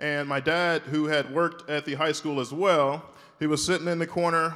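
A man with an American accent speaks in an ordinary speaking voice, fairly high in pitch for a man, at a moderate pace. His intonation is fairly even, and the recording is very clean with a silent background. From US South, Shreveport, Louisiana. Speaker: orthopedic spine surgeon. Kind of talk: keynote speech. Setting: stage with audience.

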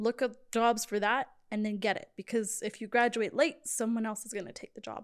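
With an American accent, a woman with a fairly high voice speaks at a moderate pace and fairly even intonation, showing big swings in loudness, in an unremarkable speaking voice. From Georgia, US South (Sandy Springs). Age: 20s. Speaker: event coordinator. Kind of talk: casual chat.

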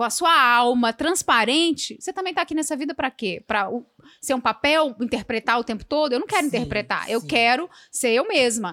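The tone is bright and sharp, and the intonation lively at a fairly quick pace. The sound is dry and close, with no echo. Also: woman, high pitch for a woman. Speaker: podcast host. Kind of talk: casual chat. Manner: fast.

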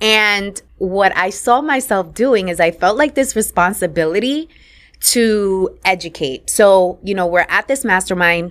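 With a New York accent, a woman talks at a fairly slow pace and medium pitch, her intonation lively on a very clean recording with a silent background. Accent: New York City. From New York, Puerto Rican family. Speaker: podcast host and business coach. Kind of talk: interview.

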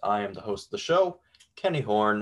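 With an ordinary speaking voice, a man talks at a moderate pace and fairly low pitch, with ordinary pitch variation, on a very clean recording with a silent background. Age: 20s. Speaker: college radio host. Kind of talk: radio show hosting. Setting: radio studio.

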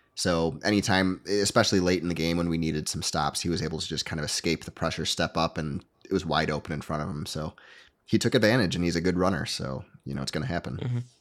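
A man with a very deep, low pitch and an American accent, talking at a very fast pace with ordinary pitch variation on a very clean recording with a silent background. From Michigan, US. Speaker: co-host. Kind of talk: casual sports recap chat.

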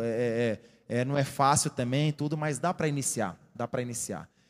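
With a normal speaking voice, a man talks at a moderate pace and uses ordinary pitch variation. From Rio Maria, Pará, northern Brazil. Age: 30s. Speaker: sports physiotherapist, former footballer. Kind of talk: health talk at church workshop. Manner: informal, repetitive filler words.

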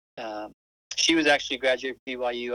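Speaking with an American accent at a medium pitch, a man has a bright, sharp tone, fairly even intonation and a moderate pace, in a dry, close sound with no echo. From Utah, Salt Lake City. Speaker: seminary teacher. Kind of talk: casual interview.

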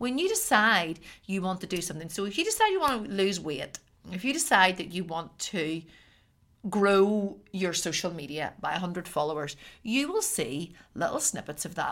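With a Northern Irish accent, a woman talks at a medium pitch with lively intonation. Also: moderate pace, very clean recording, silent background. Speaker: podcast host and artist. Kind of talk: solo podcast monologue. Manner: preachy delivery.

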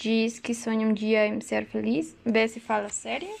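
A woman speaks very slowly with a Mexican accent. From Mexico. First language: Spanish (speaking Portuguese). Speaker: university student. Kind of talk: casual chat. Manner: halting.

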